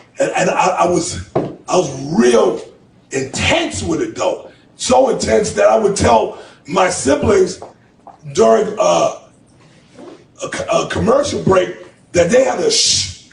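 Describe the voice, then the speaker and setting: A man with an American accent, at a fairly slow pace with long, frequent pauses, amid noticeable background noise and audible room echo. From Boston, Massachusetts (Roxbury). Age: 50s. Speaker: motivational speaker. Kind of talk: testimony.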